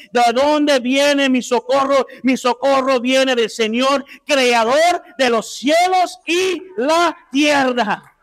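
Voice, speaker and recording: Over a quiet background, a man talks with an extremely high pitch. His pace is very slow, yet he hardly pauses. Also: ordinary pitch variation, very even loudness. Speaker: guest preacher. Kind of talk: sermon. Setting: church. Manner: loud at times, raises voice. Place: church. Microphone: handheld.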